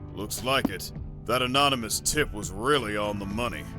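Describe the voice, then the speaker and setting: A man speaks at a moderate pace in a put-on character voice with a medium pitch. Loud music plays in the background. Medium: audio drama. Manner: brisk, authoritative.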